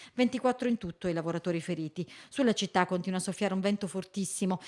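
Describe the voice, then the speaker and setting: A woman talks at a very fast pace with ordinary pitch variation. The background is quiet. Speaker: TV news reporter reading a report. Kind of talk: newsreading, voiceover of a report. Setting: voiceover recorded report. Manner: brisk, formal, even-toned news delivery.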